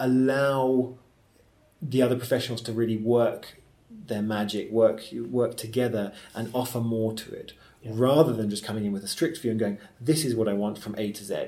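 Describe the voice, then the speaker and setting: Here is a man with an ordinary speaking voice at a medium pitch. He keeps a moderate pace and fairly even intonation. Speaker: theatre director and actor. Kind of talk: conversational interview.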